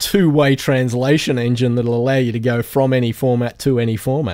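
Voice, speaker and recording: A man speaks with an Australian accent at a medium pitch. The recording is very clean, with a silent background. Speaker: podcast host, audio engineer. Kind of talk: casual chat.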